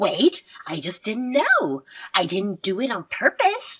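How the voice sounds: A put-on character voice from a woman, medium in pitch with a fairly bright tone and a husky, rough edge, slow in pace with very wide pitch swings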